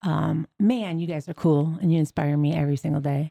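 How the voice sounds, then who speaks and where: A woman with a very deep, low pitch, a dark, mellow tone and fairly even intonation, in a dry, close sound with no echo on a very clean recording with a silent background. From Michigan. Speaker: podcast co-host, former educator. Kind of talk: casual chat.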